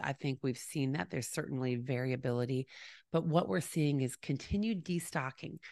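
Lively intonation at a moderate pace. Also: woman. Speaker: podcast host. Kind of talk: solo commentary. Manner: casual with fillers.

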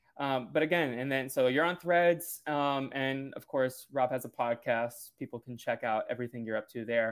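Against a silent background on a very clean recording, a man with an American accent speaks at a moderate pace and medium pitch, with ordinary pitch variation and hardly any pauses. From US, Brazilian American family. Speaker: podcast host. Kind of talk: casual interview chat; solo podcast intro.

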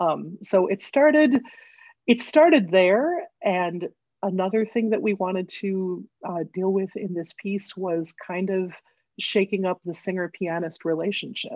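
A woman with an American accent and a plain, everyday voice speaks at a fairly slow pace and medium pitch, with ordinary pitch variation and a dry, close sound with no echo. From US Midwest, Northfield, Minnesota. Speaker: collaborative pianist and vocal coach. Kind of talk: interview conversation.

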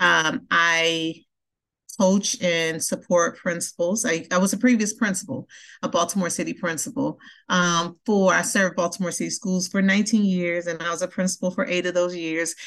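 A woman with an American accent speaks at a moderate pace in an unremarkable speaking voice, fairly low in pitch with ordinary pitch variation, against a quiet background. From Milwaukee, Wisconsin (US Midwest). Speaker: school center director, former principal. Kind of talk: interview conversation.

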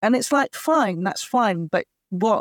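A woman speaks at a moderate pace in a British accent. The recording is very clean with a silent background, and the sound is dry and close with no echo. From England. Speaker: actor and writer, adoptee advocate. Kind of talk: interview conversation. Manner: hesitant, many fillers.

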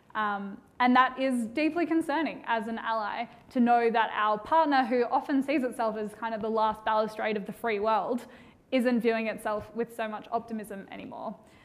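Speaking with an Australian accent, a woman keeps a moderate pace and a fairly high pitch with ordinary pitch variation. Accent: Australian, stark. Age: young. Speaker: policy researcher. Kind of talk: panel discussion.

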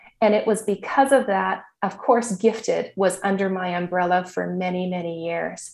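A woman with a plain, everyday voice in a Canadian accent, a moderate pace, hardly any pauses and fairly even intonation. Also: medium pitch for a woman. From Saskatchewan, Canada. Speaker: teacher. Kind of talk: interview.

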